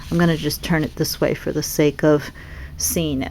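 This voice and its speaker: A woman speaks with a slight Boston accent in a very clean recording with a silent background. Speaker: papercraft seller and demonstrator. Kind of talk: product demonstration. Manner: animated.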